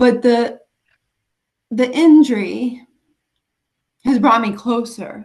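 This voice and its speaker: A woman with an American accent talks at a fairly slow pace, somewhat breathy, with fairly even intonation. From US Northeast, Rochester, New York. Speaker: special education teacher and author. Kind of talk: interview about life story. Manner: halting, slightly impaired speech after brain injury.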